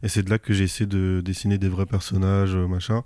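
A man speaks at a moderate pace with a dark, mellow tone and a fairly low pitch. The recording is very clean, with a silent background. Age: 20s. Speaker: manga author and flight attendant. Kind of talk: casual interview. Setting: manga bookshop.

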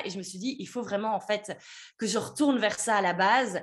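Speaking fairly quickly with lively intonation, a woman uses a plain, everyday voice. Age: 30s. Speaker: business mentor. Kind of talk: interview.

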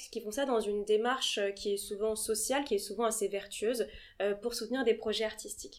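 A woman has a plain, everyday voice with a fairly high pitch. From Paris, France. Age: 20s. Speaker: art agency founder. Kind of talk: interview.

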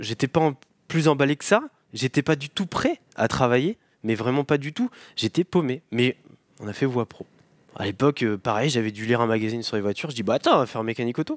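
A man with a medium-pitched voice speaks fairly quickly but with long, frequent pauses, using ordinary pitch variation. The sound is dry and close with no echo, and the recording is very clean with a silent background. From Normandy, France (Cotentin, near Cherbourg). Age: 30s. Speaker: appliance repair business owner. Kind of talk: interview. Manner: hesitant, many repetitions and fillers.

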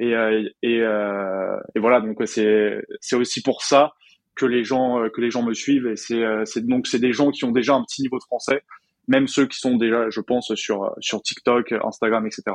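A fairly slow pace with monotone, flat intonation. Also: man, medium pitch for a man. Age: 20s. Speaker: French teacher and entrepreneur. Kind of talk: casual interview chat.

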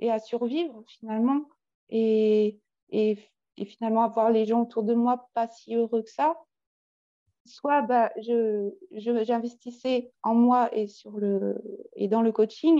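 A dark, mellow tone at a very slow pace. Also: woman. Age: 40s. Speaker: coaching client with eating disorder history. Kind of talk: testimony. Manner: halting.

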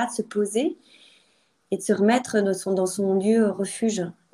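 Her tone dark and mellow, a woman speaks at a fairly slow pace with fairly even intonation. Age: 30s. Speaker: lawyer. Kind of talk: personal testimony interview. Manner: hesitant, many fillers.

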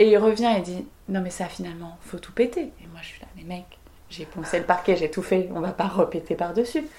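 An unremarkable speaking voice at a moderate pace, with ordinary pitch variation. The loudness swings widely. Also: woman, medium pitch for a woman. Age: 30s. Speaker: chef and restaurant owner. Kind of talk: interview. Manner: casual, lively.

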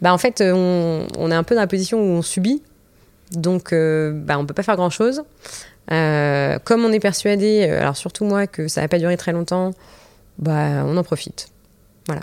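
A woman's fairly low-pitched voice, broken by long, frequent pauses. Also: ordinary pitch variation, moderate pace. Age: 30s. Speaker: restaurant entrepreneur and mother. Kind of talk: casual interview. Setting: studio, filmed. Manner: halting, many fillers.

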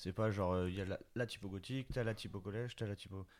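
On a very clean recording with a silent background, a man with a fairly low pitch talks at a fairly quick pace with fairly even intonation. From Bordeaux, southwest France. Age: 30s. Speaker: clothing brand co-founder. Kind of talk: interview. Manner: hesitant, many fillers.

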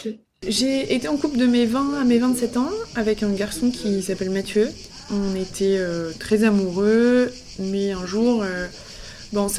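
A woman's fairly high voice at a fairly slow pace, ordinary pitch variation, and noticeable background noise. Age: 30s. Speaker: podcast host. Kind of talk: scripted narration.

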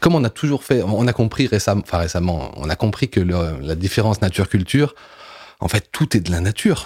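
A man with a fairly low, somewhat breathy voice talks at a fairly quick pace with lively intonation. The sound is dry and close with no echo, on a very clean recording with a silent background. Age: 40s. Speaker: comic book writer and filmmaker. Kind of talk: interview. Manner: halting, many hesitations.

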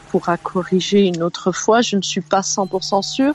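A woman speaking at a very slow pace amid noticeable background noise. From Belgium. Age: 50s. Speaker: caller. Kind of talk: casual chat.

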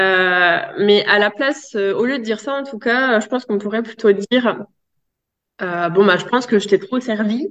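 A woman speaks with a fairly high pitch. Her pitch varies in an ordinary way, and her pace is moderate. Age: 30s. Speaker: positive parenting specialist. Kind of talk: interview. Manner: hesitant, many fillers.

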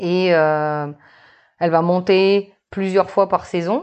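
A woman with a plain, everyday voice speaks at a fairly low pitch, her intonation fairly even. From New Caledonia. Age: 30s. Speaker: marine biologist. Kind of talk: casual interview.

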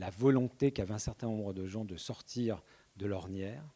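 Speaking at a moderate pace, a man has a fairly low pitch and a dark, mellow tone. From Brittany, Carhaix area. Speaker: journalist and essayist. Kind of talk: public panel talk. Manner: halting, many repetitions.

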